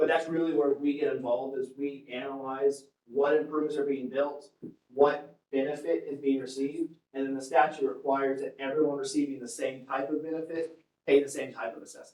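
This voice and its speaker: Speaking fairly quickly with an American accent, a man holds a fairly high pitch and monotone, flat intonation, with big swings in loudness. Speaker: public finance consultant. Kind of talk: presentation to city council. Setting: city council meeting. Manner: fast.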